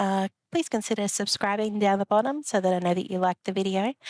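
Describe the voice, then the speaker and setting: With an Australian accent, a woman speaks at a fairly quick pace in a relaxed tone, on a very clean recording with a silent background and a dry, close sound with no echo. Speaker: rock collecting vlogger. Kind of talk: casual vlog chat. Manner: relaxed, with fillers.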